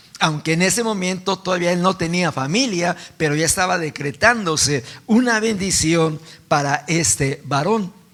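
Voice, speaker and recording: The man's pitch is high. It varies in an ordinary way. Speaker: pastor. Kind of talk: sermon. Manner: slow; soft-spoken.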